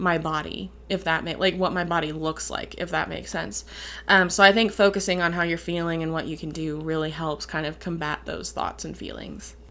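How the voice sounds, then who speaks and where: A woman with a Midwestern accent speaks fairly quickly at a fairly low pitch, her tone bright and sharp, with vocal fry and fairly even intonation. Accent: Midwestern, Canadian-sounding on some words. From Upper Peninsula of Michigan. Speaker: vlogger. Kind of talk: casual Q and A vlog.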